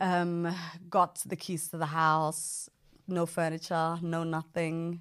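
Recorded very cleanly with a silent background, a woman speaks very slowly in a fairly low, flat monotone. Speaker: FGC survivor and activist. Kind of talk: testimony.

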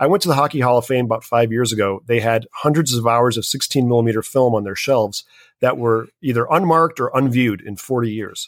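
Words pour out of this man at a very fast pace. His voice stays at a medium pitch and shows ordinary pitch variation. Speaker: filmmaker. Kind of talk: interview.

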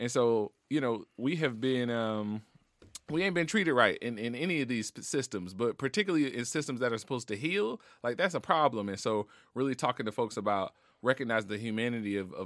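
The tone is animated and the pace very fast. The recording is very clean, with a silent background. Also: man, dry, close sound with no echo. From New Orleans, Louisiana (West Bank, Marrero). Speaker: psychiatrist. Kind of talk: casual chat. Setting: studio.

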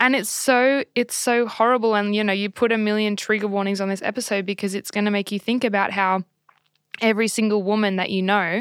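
On a very clean recording with a silent background and a dry, close sound with no echo, a woman talks at a fairly quick pace in a medium pitch with monotone, flat intonation. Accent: Australian. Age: 20s. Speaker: podcast co-host. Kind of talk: casual chat.

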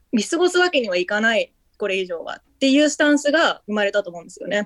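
A woman talks very fast at a high pitch, her voice swinging very widely. The sound is dry and close, with no echo. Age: 20s. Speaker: writer. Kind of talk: interview. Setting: remote call.

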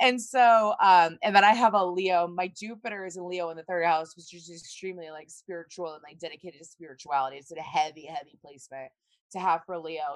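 An unremarkable speaking voice belongs to a woman with an American accent and a fairly low pitch. She talks at a fairly quick pace with ordinary pitch variation. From US South. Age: 30s. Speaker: astrologer and psychic. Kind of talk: casual chat. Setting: video call.

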